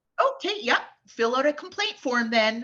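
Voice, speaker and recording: A woman does a robotic put-on character voice, high in pitch, with very wide pitch swings. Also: moderate pace. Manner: passive aggressive, robotic.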